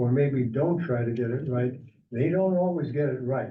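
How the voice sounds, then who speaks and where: There is audible room echo as a man with a fairly high pitch talks at a moderate pace. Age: 80s+. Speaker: committee chairman. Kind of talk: public meeting. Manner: halting.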